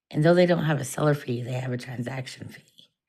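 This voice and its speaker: Vocal fry runs through this woman's voice. Her pitch is very deep and low. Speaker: online reseller vlogger. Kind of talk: casual vlog. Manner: chatty, informal.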